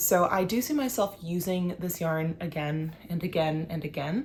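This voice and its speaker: On a very clean recording with a silent background, a woman uses a plain, everyday voice at a medium pitch, moderate pace, and ordinary pitch variation. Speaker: knitting video creator. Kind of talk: casual vlog talk to camera.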